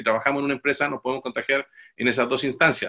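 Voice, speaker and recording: A man talks in a bright, sharp tone. The background is quiet. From Chile. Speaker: corporate occupational health and safety manager. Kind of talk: webinar presentation. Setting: video call. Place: home room. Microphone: webcam.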